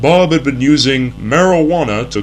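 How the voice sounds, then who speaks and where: Noticeable background noise sits behind this man. He speaks at a moderate pace with a fairly high pitch. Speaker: narrator of a mock educational film. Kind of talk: vintage educational film narration, deadpan parody.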